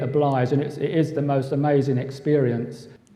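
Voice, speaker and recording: There is noticeable background noise. A man talks in a London accent. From London (East End). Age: 60s. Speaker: conference speaker, musician and cartoonist. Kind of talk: conference talk with slides. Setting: hotel conference room with audience.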